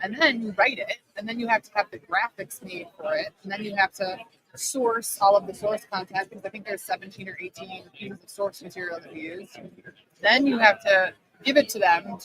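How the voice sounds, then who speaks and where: Speaking with a Chicago accent, a woman talks at a fairly quick pace and medium pitch, the sound dry and close with no echo. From Chicago, US Midwest. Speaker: business owner and author. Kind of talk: casual interview. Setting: live stream at a conference. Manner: animated.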